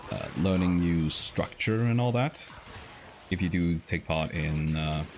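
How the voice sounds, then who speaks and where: The speaker has a non-native accent and a fairly slow pace. The pitch varies in an ordinary way. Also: man, very deep, low pitch for a man. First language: not English. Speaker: vtuber game streamer. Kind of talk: casual gameplay chat. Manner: halting, many fillers.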